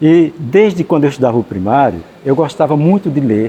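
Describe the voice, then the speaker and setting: Noticeable background noise sits behind a man with a fairly high pitch. He speaks at a moderate pace with lively intonation. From Sergipe, Brazil (Malhador, rural interior). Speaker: writer and teacher. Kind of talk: interview. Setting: library.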